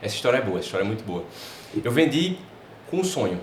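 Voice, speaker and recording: Over noticeable background noise and audible room echo, a man speaks with a northeastern Brazilian accent. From Brazil, Paraíba (João Pessoa). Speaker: advertising and personal branding specialist. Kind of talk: podcast interview.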